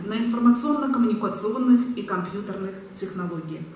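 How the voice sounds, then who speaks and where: Audible room echo and light background noise surround the recording. A woman speaks with lively intonation. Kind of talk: formal ceremonial speech. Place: hall. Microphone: pa.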